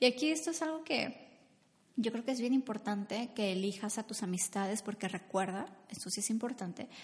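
A woman speaks in a medium pitch with an animated tone and ordinary pitch variation. Her somewhat breathy voice moves at a moderate pace. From Mexico. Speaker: podcast host and business coach. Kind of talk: faith-based motivational talk. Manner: halting.

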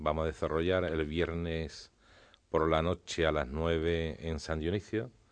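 A man speaks in a very deep, low pitch. His pace is fairly slow and his intonation monotone and flat. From Spain, Jerez (Andalusia). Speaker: brotherhood council president. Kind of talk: radio interview.

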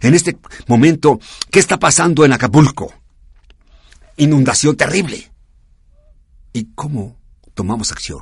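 Speaking fairly slowly at a fairly high pitch, a man uses lively intonation and a somewhat breathy voice, with big swings in loudness and long, frequent pauses. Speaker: radio host of a service club program. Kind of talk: radio talk show.

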